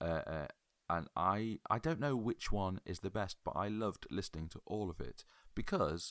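On a very clean recording with a silent background and a dry, close sound with no echo, a man with a fairly low pitch speaks at a moderate pace with very wide pitch swings. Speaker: podcast host. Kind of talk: casual chat.

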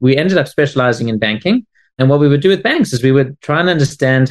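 Against a quiet background, a man with a South African accent and a fairly high pitch speaks at a fairly quick pace. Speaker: tech company CEO. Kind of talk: interview.

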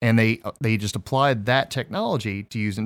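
A man with a normal speaking voice talks at a moderate pace with ordinary pitch variation. The recording is very clean and dry, close with no echo, over a silent background. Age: 30s. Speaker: podcast host. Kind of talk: casual chat.

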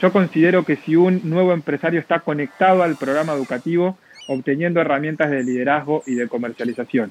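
Talking at a very fast pace, a man uses a fairly high pitch in a dry, close sound with no echo. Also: ordinary pitch variation. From Argentina, La Plata. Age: 20s. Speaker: network marketing entrepreneur. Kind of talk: interview.

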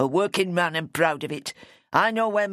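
Here is a natural reading voice. It is heard on its own.

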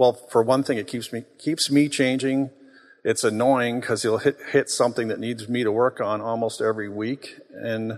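A man with an unremarkable speaking voice talks at a moderate pace in a medium pitch, with fairly even intonation. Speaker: church co-founder speaking to congregation. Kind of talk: sermon. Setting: church.

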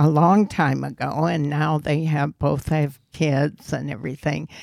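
With vocal fry and a very deep, low pitch, a woman speaks at a very slow pace. Her intonation is fairly even, and the sound is dry and close with no echo. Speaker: guest married over sixty years. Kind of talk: casual interview chat.

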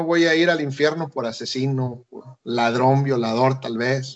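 This is an unremarkable speaking voice from a man with a fairly high pitch. He talks at a fairly slow pace with fairly even intonation. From Mexico, Chiapas (Tapachula). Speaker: missionary. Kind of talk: radio interview.

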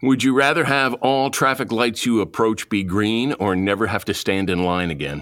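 Over a silent background in a very clean recording, a man talks at a moderate pace in an ordinary speaking voice, fairly low in pitch with lively intonation. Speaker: podcast host. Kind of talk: casual podcast interview.

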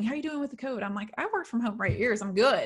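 Over noticeable background noise, a woman with an American accent talks at a very fast pace with lively intonation. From US South. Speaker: podcast host. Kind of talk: casual interview chat.

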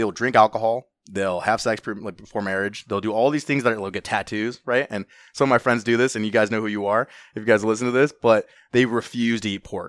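A man with an American accent talks at a very fast pace, medium in pitch with ordinary pitch variation. The recording is very clean and silent in the background, with a dry, close sound and no echo. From Southern California, Orange County. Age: 20s. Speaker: real estate investor. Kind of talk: casual chat.

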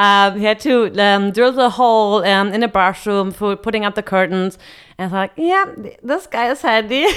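A woman with a German accent, medium pitch, ordinary pitch variation and a moderate pace. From western Germany near the Netherlands.

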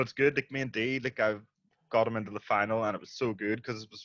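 A man talks very fast in a Northern Irish accent, with fairly even intonation. The background is quiet and the sound is dry and close with no echo. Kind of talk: casual chat.

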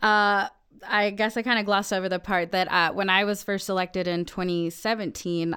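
In a General American accent, a woman speaks at a moderate pace with fairly even intonation in an ordinary speaking voice. The recording is very clean with a silent background. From Colorado, Denver area. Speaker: city council member. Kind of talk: casual chat. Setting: studio.

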